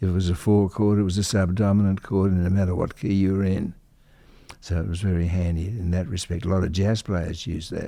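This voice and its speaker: A dark, mellow voice with an Australian accent, fairly quick pace and monotone, flat intonation, in a very clean recording with a silent background. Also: man, very deep, low pitch for a man. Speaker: conductor and composer. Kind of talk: interview. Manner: halting.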